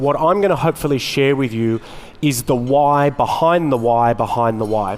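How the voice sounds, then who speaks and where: Pitched fairly high, a man with an unremarkable speaking voice talks at a moderate pace with ordinary pitch variation. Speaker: market research executive. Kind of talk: conference keynote. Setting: stage with audience.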